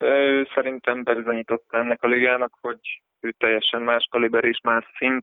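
Intonation stays monotone and flat as a man speaks at a moderate pace. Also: medium pitch for a man. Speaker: basketball player. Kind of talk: casual interview answering listener questions. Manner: halting, hesitant with fillers.

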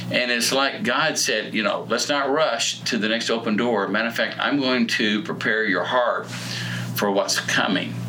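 Speaking at a fairly slow pace, a man keeps his loudness very even against noticeable background noise. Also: hardly any pauses. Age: 60s. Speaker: pastor. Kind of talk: casual chat.

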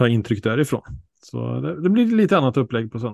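This man has an ordinary speaking voice. His pitch is medium and varies in an ordinary way. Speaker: podcast host on harness racing. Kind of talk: casual chat.

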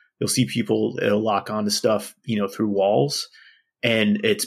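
Vocal fry marks this voice, heard at a moderate pace on a very clean recording with a silent background. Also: man. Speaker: gamer guest. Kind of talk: casual chat. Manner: hesitant, filler-heavy.

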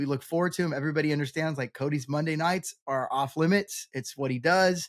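Speaking at a moderate pace, a man has an unremarkable speaking voice, fairly high in pitch with fairly even intonation, captured in a very clean, dry, close recording with no echo and a silent background. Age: 40s. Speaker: bi-vocational pastor and real estate investor. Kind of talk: casual interview chat.

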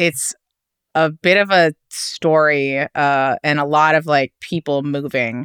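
A woman with a New York accent speaks at a very slow pace, her pitch very deep and low. The sound is dry and close, with no echo. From New York City. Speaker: food writer. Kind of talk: casual chat. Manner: animated.

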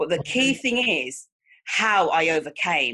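A woman with a Mancunian accent and a fairly low-pitched voice. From Manchester, England. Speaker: life coach. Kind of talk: interview.

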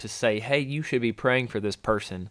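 A man talks in a plain, everyday voice at a medium pitch with ordinary pitch variation. The recording is very clean, with a silent background. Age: 30s. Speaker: podcast host and wildlife biologist. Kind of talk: casual faith-based chat.

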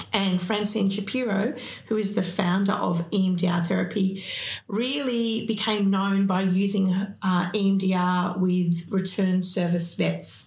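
A woman with an Australian accent speaks very slowly at a medium pitch, her loudness very even and her intonation fairly even. Audible echo fills the room around her. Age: 50s. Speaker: psychotherapist and business owner. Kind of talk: interview.

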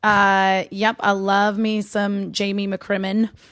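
Over a quiet background, a woman with an American accent talks at a medium pitch in a flat, monotone way. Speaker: podcast guest. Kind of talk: casual chat.

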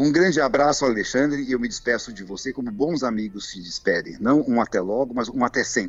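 In an unremarkable speaking voice, a man at medium pitch talks at a fairly quick pace with lively intonation and hardly any pauses. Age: 60s. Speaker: pianist and composer. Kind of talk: interview.

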